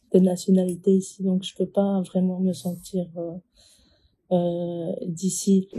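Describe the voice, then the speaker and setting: A woman speaks very slowly at a medium pitch, her tone dark and mellow. Her delivery is somewhat breathy and monotone, with flat intonation. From Ecuador. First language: Spanish (speaking French). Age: 20s. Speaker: young immigrant interviewee. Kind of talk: interview. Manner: hesitant.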